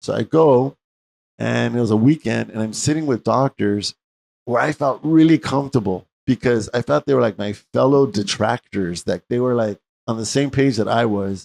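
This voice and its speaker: A man speaks in a normal speaking voice at a moderate pace, his pitch medium with ordinary variation. The sound is dry and close with no echo. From US West, East Los Angeles. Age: 60s. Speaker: medical doctor and interview host. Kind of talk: interview, personal story.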